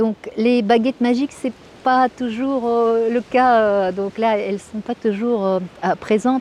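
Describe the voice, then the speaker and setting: Speaking very slowly in a Russian accent, a woman with a fairly high voice keeps a fairly even intonation in a dry, close recording with no echo. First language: Russian (speaking French). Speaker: Russian language teacher. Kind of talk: interview. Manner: halting, many hesitations.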